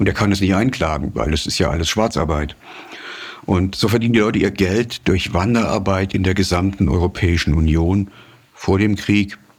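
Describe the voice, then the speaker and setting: There is noticeable background noise as a man talks at a moderate pace in a very deep, low pitch with ordinary pitch variation. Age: 60s. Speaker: journalist and author. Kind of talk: interview. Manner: frequent hesitations (äh, ähm).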